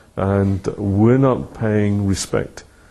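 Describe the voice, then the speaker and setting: In a British accent, a man speaks very slowly in a dark, mellow tone at a fairly low pitch. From United Kingdom. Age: 70s. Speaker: retired professor. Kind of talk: interview.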